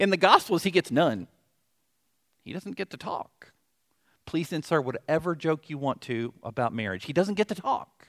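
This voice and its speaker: A man with a Southern US accent speaks at a moderate pace in a fairly high voice with vocal fry, very wide pitch swings, big swings in loudness and long, frequent pauses, recorded with a dry, close sound and no echo. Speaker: pastor. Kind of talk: sermon. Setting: church.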